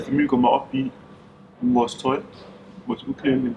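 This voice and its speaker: There is noticeable background noise. The voice shows ordinary pitch variation. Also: man. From Denmark, Skanderborg and central Jutland. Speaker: interviewee, football referee. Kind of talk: documentary interview. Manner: halting, many fillers and repetitions.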